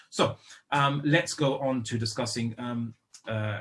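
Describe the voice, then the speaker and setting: In a British accent, the speaker keeps a fairly even intonation. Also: man. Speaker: Islamic lecturer. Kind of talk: lecture. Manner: hesitant, many fillers.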